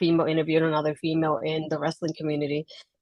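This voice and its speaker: With a Puerto Rican accent, a woman talks at a very fast pace in a very deep, low pitch. The sound is dry and close, with no echo. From Puerto Rico. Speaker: wrestling blogger and podcaster. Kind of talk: interview. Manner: quiet.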